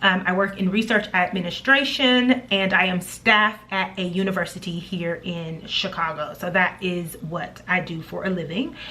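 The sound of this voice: A woman talks at a moderate pace with few pauses, her fairly low voice bright and sharp in tone with fairly even intonation and audible room echo.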